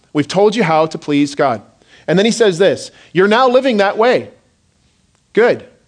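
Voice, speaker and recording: With lively intonation and a moderate pace, a man speaks at a high pitch. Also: long, frequent pauses, very even loudness. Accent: Canadian. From southern Ontario, Canada. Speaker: pastor. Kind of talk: sermon. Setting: church.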